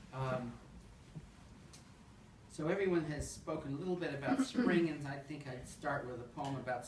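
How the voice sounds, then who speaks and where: A man talks at a moderate pace with ordinary pitch variation. There is noticeable background noise. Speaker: poet. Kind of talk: casual introduction at a poetry reading.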